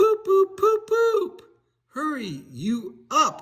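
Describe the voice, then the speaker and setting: A man puts on a squeaky character voice at an extremely high pitch. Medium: read story. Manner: cross, self-assured.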